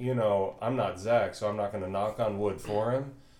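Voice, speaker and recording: With ordinary pitch variation, the clip presents an ordinary speaking voice. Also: man. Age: 30s. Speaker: podcast host. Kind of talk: casual chat.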